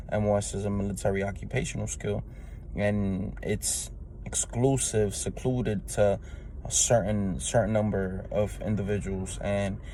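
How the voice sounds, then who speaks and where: A man speaks in a New York accent at a moderate pace. The room echo is audible. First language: Spanish. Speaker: Marine Corps veteran. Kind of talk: testimony. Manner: halting, many fillers.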